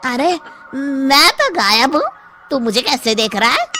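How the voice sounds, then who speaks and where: A cartoonish character voice that sounds female, at a moderate pace over faint music in the background. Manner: boastful, vengeful.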